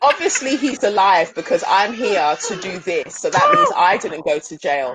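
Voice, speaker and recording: In a South London accent, a woman speaks at a moderate pace from a medium pitch, with very wide pitch swings, big swings in loudness and noticeable background noise. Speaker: pole dance studio owner. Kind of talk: panel discussion.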